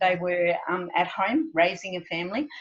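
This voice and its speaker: An unremarkable speaking voice belongs to a woman at a medium pitch. She speaks at a fairly slow pace. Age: 60s. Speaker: money coach. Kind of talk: interview.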